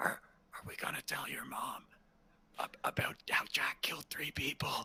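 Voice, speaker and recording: A put-on character voice, raspy and whispering, delivered at a moderate pace. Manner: whispering, conspiratorial.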